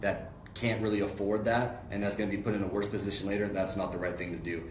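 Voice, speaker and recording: A man talks with an American accent. Audible room echo and noticeable background noise are present. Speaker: online marketer and car buying advisor. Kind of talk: casual live stream talk. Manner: loud; halting with many fillers.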